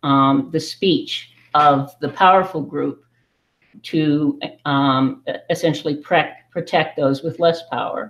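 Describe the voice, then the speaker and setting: The speaker goes at a very slow pace with an American accent. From United States. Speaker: livestream participant. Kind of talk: casual group discussion. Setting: video call. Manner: halting.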